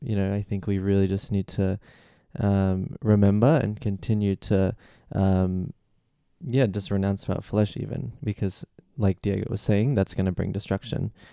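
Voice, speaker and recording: With an Australian accent, a man speaks at a fairly slow pace in a dark, mellow tone with a fairly low pitch and ordinary pitch variation, on a very clean recording with a silent background and a dry, close sound with no echo. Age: 20s. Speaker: guest on a faith podcast. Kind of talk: casual Bible discussion.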